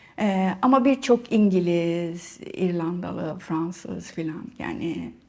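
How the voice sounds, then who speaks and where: At a very slow pace, a woman with a medium pitch speaks with lively intonation. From Cyprus, Nicosia. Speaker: writer, artist and academic. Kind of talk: interview. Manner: halting, many fillers.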